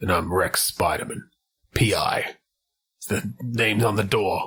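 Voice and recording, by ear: A low, raspy, put-on character voice at a moderate pace.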